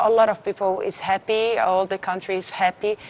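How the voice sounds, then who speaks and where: A woman with a Portuguese accent at a fairly quick pace, medium pitch and monotone, flat intonation, over noticeable background noise. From Brazil. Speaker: beauty pageant winner. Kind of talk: TV interview.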